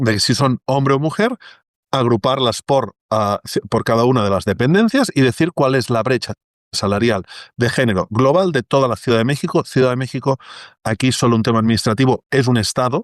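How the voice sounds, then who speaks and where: Recorded against a quiet background with a dry, close sound and no echo, a man in a Catalan accent talks with ordinary pitch variation and very even loudness. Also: medium pitch for a man, moderate pace. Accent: Catalan Spanish accent, retained. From Catalonia, Spain. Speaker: data journalist and technologist. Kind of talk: interview conversation.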